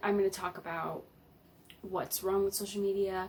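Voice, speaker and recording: Noticeable background noise runs under this recording. A woman speaks at a medium pitch. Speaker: YouTuber. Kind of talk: vlog talk to camera. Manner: halting, many fillers.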